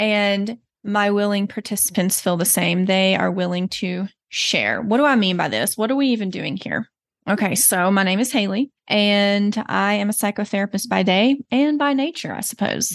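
A woman with a slight Southern US accent, medium in pitch with ordinary pitch variation, at a moderate pace and very even loudness, over a quiet background. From Texas. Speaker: therapist and podcast host. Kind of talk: solo podcast introduction monologue. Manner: reflective, earnest.

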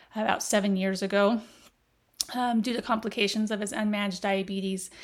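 Using a normal speaking voice, a woman speaks at a fairly quick pace with medium pitch and fairly even intonation. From Las Vegas, US. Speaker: healthcare operations executive. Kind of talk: casual interview chat. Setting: in person, seated next to host.

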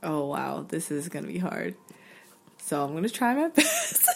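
A woman with an American accent speaks at a fairly slow pace. Noticeable background noise sits behind her. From North Carolina, US South. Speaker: podcast host. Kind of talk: casual interview conversation.

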